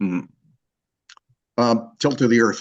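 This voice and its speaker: Ordinary pitch variation from a man talking at a fairly quick pace. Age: 60s. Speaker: author and scientist. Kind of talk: interview with audience Q&A. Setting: live event with audience.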